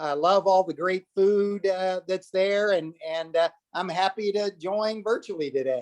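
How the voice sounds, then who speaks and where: A man with a Southern accent, high pitch and ordinary pitch variation at a fairly slow pace, the sound dry and close with no echo. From Texas, Austin. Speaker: winemaker. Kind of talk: casual chat. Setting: video call.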